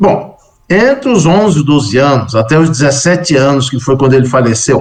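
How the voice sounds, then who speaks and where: A normal speaking voice with lively intonation, very even loudness and a moderate pace. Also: man, fairly high pitch for a man. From Brazil. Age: 60s. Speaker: Buddhist monk and scholar. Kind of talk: interview testimony.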